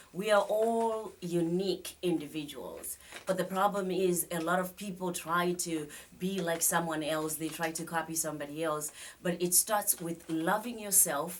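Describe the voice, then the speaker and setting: A woman talks at a moderate pace with a Zimbabwean accent. Her fairly low voice keeps a fairly even intonation. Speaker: psychotherapist and life coach. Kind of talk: studio interview. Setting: studio.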